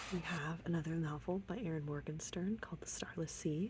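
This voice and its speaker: The speaker is soft-spoken with a relaxed tone. The pace is fairly quick. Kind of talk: ASMR book tour, soft-spoken chatty talk to camera. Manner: soft-spoken, relaxed.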